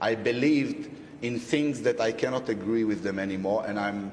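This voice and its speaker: Through noticeable background noise and audible room echo, someone speaks at a moderate pace with ordinary pitch variation. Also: man. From Israel. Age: 30s. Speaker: writer and cultural editor. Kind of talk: heated debate.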